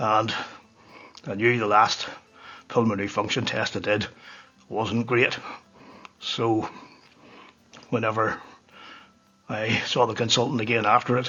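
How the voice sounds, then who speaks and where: The voice is monotone and flat at a fairly slow pace, with long, frequent pauses. Music plays in the background. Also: man, medium pitch for a man. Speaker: whiskey reviewer. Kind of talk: casual monologue.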